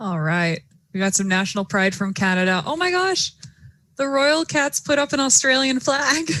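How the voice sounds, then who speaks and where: With an American accent, a woman speaks at a moderate pace in a fairly high, bright, sharp voice, animated and swinging very widely in pitch, in a very clean recording with a silent background. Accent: sounds American. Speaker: robotics competition commentator. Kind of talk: live commentary.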